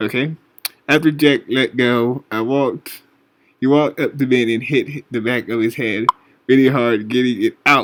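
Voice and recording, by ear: The pitch varies in an ordinary way as the speaker reads aloud in a natural voice.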